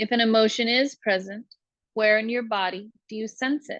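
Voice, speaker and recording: A woman with a fairly high pitch speaks at a fairly slow pace in a gentle tone and fairly even intonation, the sound dry and close with no echo over a quiet background. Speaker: meditation guide. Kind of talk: guided meditation.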